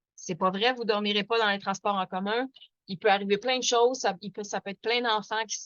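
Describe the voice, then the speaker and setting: With a Quebec accent, a woman speaks at a fairly quick pace, a medium pitch and fairly even intonation. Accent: Québécois French. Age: 40s. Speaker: activist. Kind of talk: webinar presentation. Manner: fast; hesitant, many fillers.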